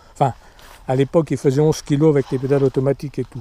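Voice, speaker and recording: A man speaks in a monotone with flat intonation, his tone dark and mellow and somewhat breathy. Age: 60s. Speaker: amateur cyclist vlogger. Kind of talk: casual show-and-tell video. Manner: hesitant, many fillers.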